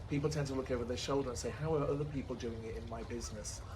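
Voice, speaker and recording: A man's very fast speech in an English accent, fairly high in pitch with vocal fry, amid audible room echo. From England. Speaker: entrepreneur and author. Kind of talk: interview. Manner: halting.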